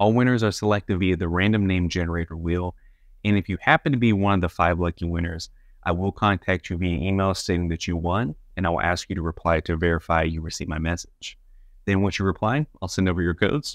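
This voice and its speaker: Very fast speech with ordinary pitch variation, a dry sound with no echo, and a quiet background. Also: man, very deep, low pitch for a man. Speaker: channel host. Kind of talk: casual vlog chat. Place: home room. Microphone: lapel.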